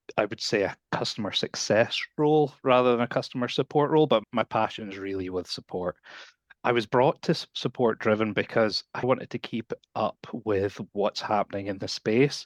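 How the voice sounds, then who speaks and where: In a Scottish accent, a medium-pitched man speaks at a moderate pace with ordinary pitch variation, the sound dry and close with no echo against a quiet background. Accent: non-North American, Scottish. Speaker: support professional. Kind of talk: podcast interview.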